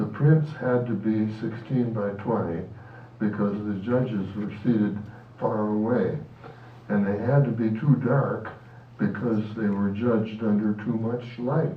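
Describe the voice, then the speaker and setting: Fairly low and fairly slow, a man speaks with fairly even intonation amid audible room echo. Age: 90s. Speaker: photographer. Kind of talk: reading aloud. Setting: club meeting.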